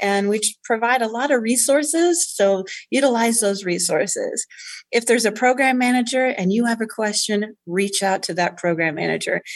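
A woman with an American accent speaks at a moderate pace. She has a plain, everyday voice with ordinary pitch variation. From Indiana (West Lafayette). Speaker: state arts agency deputy director. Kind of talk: radio interview.

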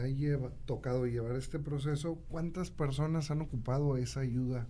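A man speaks at a medium pitch and a moderate pace, his voice somewhat breathy with a dark, mellow tone. His intonation stays fairly even, and the room echo is audible. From Santiago, Nuevo León, Mexico. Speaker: radio host. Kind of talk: casual radio talk show.

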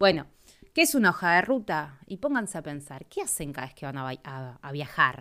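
A woman with a Rioplatense accent speaks in a fairly low voice. Her tone is animated, bright and sharp. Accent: Argentine Rioplatense Spanish. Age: 30s. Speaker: podcast host and travel advisor. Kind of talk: casual solo podcast talk. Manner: halting, many fillers.

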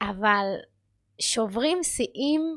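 A woman talks at a fairly high pitch with lively intonation. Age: 20s. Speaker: podcast host and powerlifting athlete. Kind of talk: casual monologue. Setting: studio. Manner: halting.

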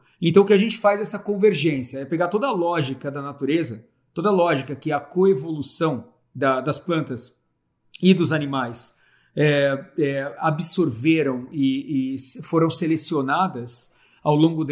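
A man talks in a normal speaking voice at a fairly high pitch. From Brazil, Santo André (São Paulo). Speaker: agroforestry entrepreneur. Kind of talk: casual chat.

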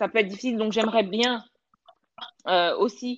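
A woman speaks at a fairly high pitch with fairly even intonation against a quiet background. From South Africa, Johannesburg. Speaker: storyteller and blogger. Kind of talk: interview. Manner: hesitant, many fillers.

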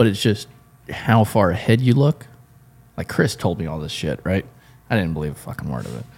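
A man with an American accent talks fairly quickly at a fairly low pitch, with very wide pitch swings and vocal fry. His loudness swings widely, and he takes long, frequent pauses. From South Florida (Homestead). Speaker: podcast host at an engine shop. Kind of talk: casual chat.

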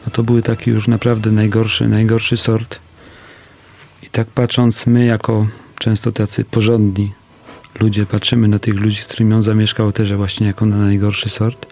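With noticeable background noise behind him, a man speaks at a moderate pace in a fairly low, monotone voice with flat intonation and very even loudness. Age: 40s. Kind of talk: radio interview. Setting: studio.

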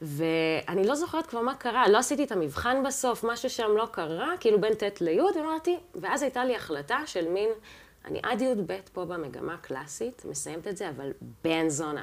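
Very wide pitch swings in a woman's fairly high voice. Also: moderate pace. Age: 30s. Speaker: jazz and classical pianist. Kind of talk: casual interview chat.

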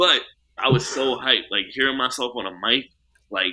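A man in a New York accent with ordinary pitch variation. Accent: New York City. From Queens, New York. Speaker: rapper. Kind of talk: casual chat.

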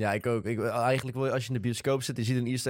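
This man talks at a very fast pace. His pitch is medium. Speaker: podcast co-host. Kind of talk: casual chat.

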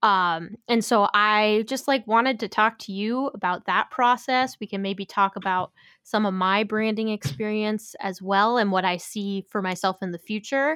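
Dry and close with no echo, a woman speaks at a moderate pace with hardly any pauses, her bright, sharp tone fairly high with ordinary pitch variation. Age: 20s. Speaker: musician and podcast co-host. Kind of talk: casual chat. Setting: remote recording, separate locations.

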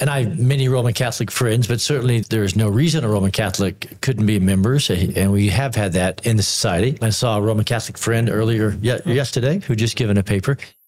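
Very fast speech with very even loudness and ordinary pitch variation plays over noticeable background noise. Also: man, medium pitch for a man. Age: 50s. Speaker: theology professor. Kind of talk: panel discussion.

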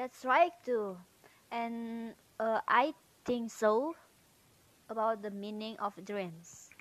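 Speaking very slowly with long, frequent pauses, a woman with an Indonesian accent uses a fairly high pitch with ordinary variation and big swings in loudness. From Indonesia, North Sumatra. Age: 18. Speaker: university student. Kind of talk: casual monologue, speaking practice. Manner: halting.

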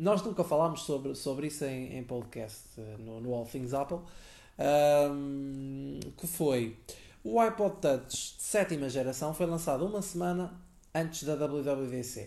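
A very slow pace in a European Portuguese accent. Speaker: podcast co-host. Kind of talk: casual chat.

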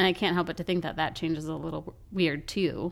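A woman with an American accent talks at a fairly quick pace, her pitch fairly low with vocal fry. Her intonation stays fairly even. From Colorado. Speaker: podcast co-host. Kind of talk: casual chat.

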